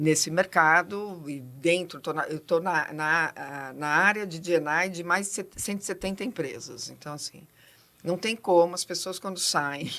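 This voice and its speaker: A woman with a fairly low pitch and a bright, sharp tone speaks with ordinary pitch variation in a very clean recording with a silent background. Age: 60s. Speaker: diversity consultant, psychologist. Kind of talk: podcast interview. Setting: studio. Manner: fast.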